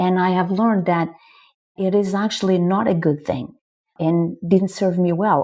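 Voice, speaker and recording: The recording is very clean, with a silent background. A woman with a Portuguese accent speaks at a moderate pace. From northern Portugal. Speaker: marketing executive. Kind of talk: podcast interview.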